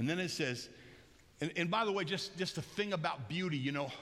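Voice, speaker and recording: In a room with audible echo, a man talks at a fairly quick pace, his tone animated and his intonation lively. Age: 60s. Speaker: pastor. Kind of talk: sermon. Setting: church. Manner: loud.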